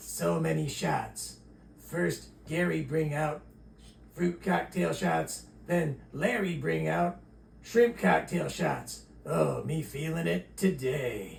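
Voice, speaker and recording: Doing a cartoonish character voice at a fairly low pitch, a man speaks at a very slow pace over clear background noise. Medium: puppet. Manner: groggy, broken English.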